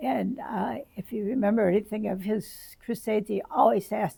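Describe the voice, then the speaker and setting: Her pitch is fairly high and her pace moderate, with fairly even intonation. This woman's tone is dark and mellow and somewhat breathy. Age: 80s+. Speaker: retired church ministry worker, home Bible study leader. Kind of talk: interview answer.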